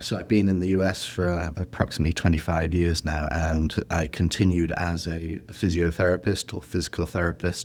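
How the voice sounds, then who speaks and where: In an English accent, a man speaks with a very deep, low pitch and hardly any pauses. His intonation is monotone and flat. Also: fairly quick pace. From England. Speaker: healthcare executive, former physical therapist. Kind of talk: podcast interview. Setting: video call.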